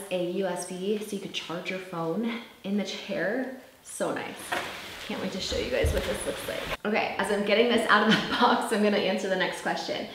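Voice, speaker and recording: A woman talks at a moderate pace with fairly even intonation. Noticeable background noise and audible room echo surround her. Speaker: vlogger. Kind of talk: casual vlog chat. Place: home room. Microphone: camera far.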